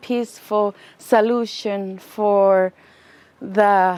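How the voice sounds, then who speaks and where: A woman speaks with an Inuk Canadian accent. Her pitch is fairly high. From Nunavut, Canada (Inuk). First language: Inuktitut. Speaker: student. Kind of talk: interview. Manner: halting.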